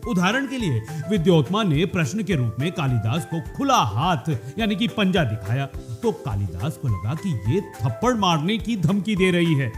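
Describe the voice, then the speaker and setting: Very wide pitch swings over music in the background. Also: man, high pitch for a man. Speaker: radio presenter. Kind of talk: radio storytelling narration.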